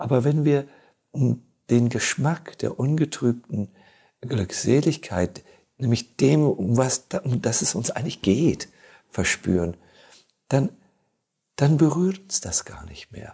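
With a dark, mellow tone and vocal fry, a man at medium pitch talks very slowly with lively intonation and long, frequent pauses. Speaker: monk and spiritual teacher. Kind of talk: casual chat. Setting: studio.

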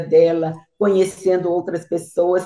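A woman with a Brazilian accent talks with ordinary pitch variation. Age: 80s+. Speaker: guest speaker. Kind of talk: casual chat.

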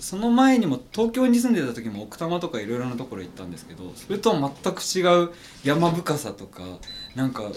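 A man's fairly high-pitched voice with very wide pitch swings, over noticeable background noise. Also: moderate pace, big swings in loudness. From Gunma, Japan. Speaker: backpack maker. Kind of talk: casual chat.

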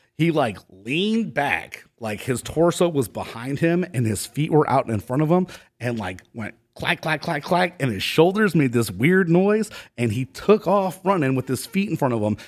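A man's fairly high voice with an American accent, a moderate pace and very wide pitch swings. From Ohio, US Midwest (Cleveland). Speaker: labor union organizer. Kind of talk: storytelling in casual interview.

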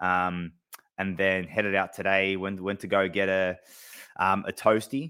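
Flat and monotone, a man with an Australian accent speaks at a very deep, low pitch. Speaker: AFL fan podcast co-host. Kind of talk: casual sports chat. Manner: halting, many fillers.

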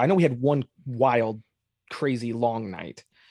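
A man with an American accent at a moderate pace, in a very clean, dry, close recording with a silent background and no echo. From Arizona. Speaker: filmmaker and music video director. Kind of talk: casual chat. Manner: hesitant, many fillers.

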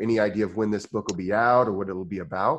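Speaking in an American accent, a man has a fairly low voice. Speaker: podcast host. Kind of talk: casual interview chat. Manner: halting, many repeats and fillers.

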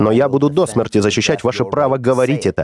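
With lively intonation and a medium pitch, a man speaks at a very fast pace. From US. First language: English (speaking Russian). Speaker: podcast host. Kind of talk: interview.

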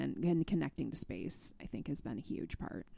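Vocal fry colors a woman's very deep, low, dark and mellow voice as she speaks at a moderate pace with lively intonation. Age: 40s. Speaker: state outdoor recreation director. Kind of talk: interview conversation.

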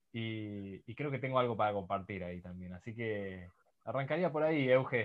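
A man with a normal speaking voice at a medium pitch, moderate pace and ordinary pitch variation. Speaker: podcast host. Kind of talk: interview.

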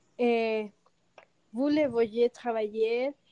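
A woman's high pitch and dark, mellow tone, with a very slow pace and monotone, flat intonation. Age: 30s. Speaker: stay-at-home mother. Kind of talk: panel debate.

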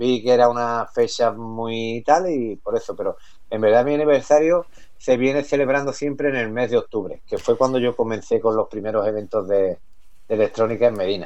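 At a moderate pace, a man's medium-pitched voice shows ordinary pitch variation. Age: 40s. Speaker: electronic music MC and DJ. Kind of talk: radio interview. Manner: halting, repeats words.

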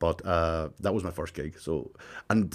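Over a very clean recording with a silent background, a man with a Tyrone accent speaks at a fairly slow pace and with fairly even intonation. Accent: Northern Irish, Tyrone. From Northern Ireland. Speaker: comedian. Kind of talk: casual chat.

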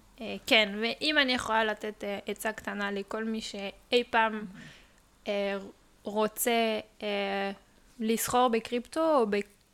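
Speaking very slowly with long, frequent pauses, a woman with a slight non-native accent keeps a fairly high pitch and fairly even intonation on a very clean recording with a silent background. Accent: slight foreign. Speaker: crypto industry worker. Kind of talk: casual explanatory chat. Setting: living room.

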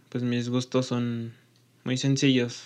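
The man's pitch is medium, and he talks very slowly. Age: 20s. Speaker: podcast host and engineering student. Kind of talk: channel introduction monologue.

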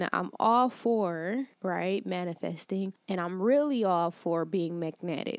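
A plain, everyday voice with an American accent, fairly slow and with hardly any pauses, ordinary pitch variation, and a dry, close sound with no echo. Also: woman, medium pitch for a woman. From Detroit, Michigan. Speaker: life coach podcast host. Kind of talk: solo motivational talk. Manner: casual, conversational.

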